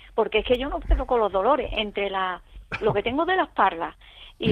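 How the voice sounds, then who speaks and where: A woman is speaking. Her pitch swings very widely. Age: 60s. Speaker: caller. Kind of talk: call-in question.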